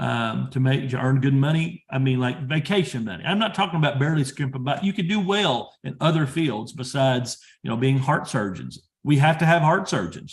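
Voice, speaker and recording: A man speaks at a fairly quick pace in a fairly high pitch for a man. His voice is somewhat breathy, with ordinary pitch variation. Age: 30s. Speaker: industry professional and PhD student. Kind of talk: career advice talk.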